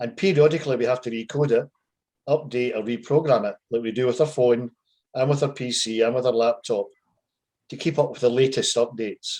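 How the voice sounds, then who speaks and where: In a Scottish accent, a man speaks at a medium pitch. His intonation is fairly even and his pace fairly quick. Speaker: life coach. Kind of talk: casual explanatory chat.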